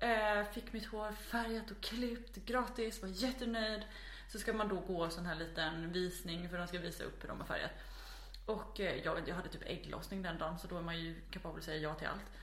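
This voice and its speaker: A woman's voice at a moderate pace, with noticeable background noise and audible room echo. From Småland, Sweden (near Växjö). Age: 20s. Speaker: podcast guest. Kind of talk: casual chat. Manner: animated.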